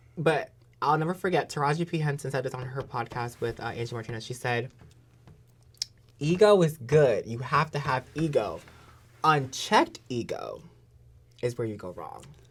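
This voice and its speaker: A woman with an American accent speaks at a moderate pace in an animated tone, her very deep, low pitch showing ordinary variation, somewhat breathy, with big swings in loudness and long, frequent pauses. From New Jersey, Jersey City. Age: 30s. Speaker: pro wrestler. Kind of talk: podcast interview.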